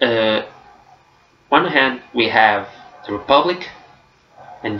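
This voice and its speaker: In a Portuguese accent, a man speaks at a very slow pace with audible room echo. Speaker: book vlogger. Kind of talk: casual vlog review. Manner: hesitant, with fillers.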